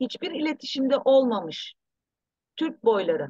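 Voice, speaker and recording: A high-pitched woman at a moderate pace in a dry, close sound with no echo. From abroad, returned to Turkey in 1984. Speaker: researcher and author. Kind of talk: interview.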